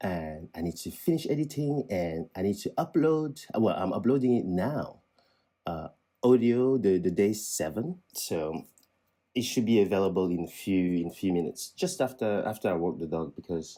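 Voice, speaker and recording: A man with a French accent talks at a moderate pace, his fairly low voice dark and mellow, with very wide pitch swings. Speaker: vlogger. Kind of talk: casual vlog monologue. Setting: indoors at home. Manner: halting, many repetitions and restarts.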